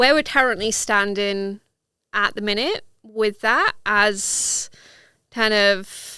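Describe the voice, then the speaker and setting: A woman speaks very slowly at a fairly high pitch, her tone bright and sharp, her intonation fairly even, and her loudness very even. The recording is very clean, with a silent background. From Wales. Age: 30s. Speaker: sports scientist. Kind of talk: podcast interview.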